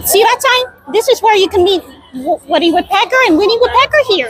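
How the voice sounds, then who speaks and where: In a put-on character voice, a woman squeaks at an extremely high pitch with very wide pitch swings and a fairly quick pace. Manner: tired, stuttering.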